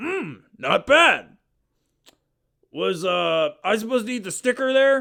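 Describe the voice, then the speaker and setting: In a put-on character voice, a man speaks at an extremely high pitch with very wide pitch swings, raised and projected, at a fairly slow pace broken by long, frequent pauses. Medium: audio drama. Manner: slow, dopey.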